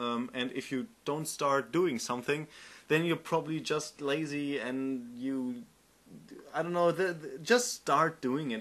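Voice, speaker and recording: A man with a German accent speaks at a fairly high pitch against a quiet background. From Germany. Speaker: game developer and tutorial maker. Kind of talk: tutorial. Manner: halting, many fillers and repeats.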